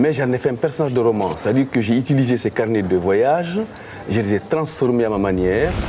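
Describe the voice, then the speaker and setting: With lively intonation, a man talks fairly quickly amid noticeable background noise. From Guinea. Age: 60s. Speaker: novelist. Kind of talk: interview.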